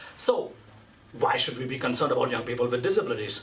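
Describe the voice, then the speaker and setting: Amid noticeable background noise and audible room echo, a man speaks in an animated tone. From India. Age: 30s. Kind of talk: conference speech.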